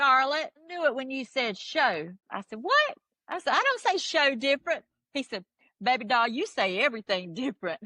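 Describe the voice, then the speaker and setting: With a strong Southern US accent, a high-pitched woman uses a raised, projected voice with very wide pitch swings and big swings in loudness, in a dry, close sound with no echo. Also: moderate pace. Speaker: music fan telling her story. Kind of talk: casual chat. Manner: animated storytelling.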